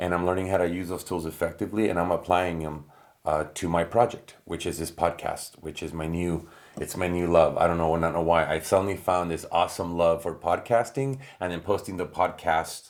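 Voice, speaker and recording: The intonation is fairly even. The pace is fairly quick. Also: man, very deep, low pitch for a man. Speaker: content creator and podcaster. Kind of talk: casual vlog monologue while working. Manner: many filler words and pauses.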